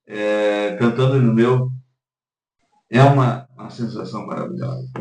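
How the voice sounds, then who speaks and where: A man speaks at a fairly slow pace and a medium pitch, with fairly even intonation. His loudness swings widely, and room echo is audible. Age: 40s. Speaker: pastor. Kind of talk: casual chat.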